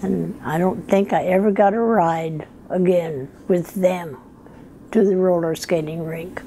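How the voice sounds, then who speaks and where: Speaking in an American accent at a fairly slow pace, a woman uses a fairly low pitch with ordinary pitch variation amid noticeable background noise. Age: 80s+. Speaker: retired telephone operator. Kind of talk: interview answer, life story.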